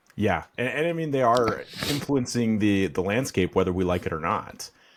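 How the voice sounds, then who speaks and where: A man's medium-pitched voice with lively intonation at a moderate pace. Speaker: podcast host. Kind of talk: interview.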